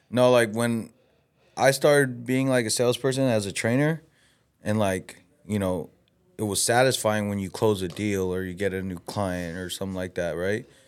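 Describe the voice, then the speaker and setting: A man talks at a moderate pace in a fairly low voice with ordinary pitch variation. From Los Angeles, Mexican-American. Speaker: podcast co-host. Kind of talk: casual chat. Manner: animated.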